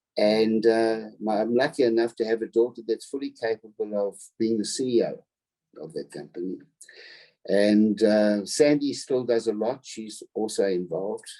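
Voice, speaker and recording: The voice has a dark, mellow tone, moving at a moderate pace with ordinary pitch variation. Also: man, medium pitch for a man. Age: 70s. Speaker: business founder. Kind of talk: interview. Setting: video call.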